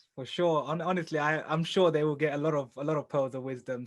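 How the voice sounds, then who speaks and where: An enthusiastic man speaks at a very fast pace with a fairly high pitch and ordinary pitch variation. The recording is very clean, with a silent background. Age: young. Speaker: podcast host. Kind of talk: podcast interview.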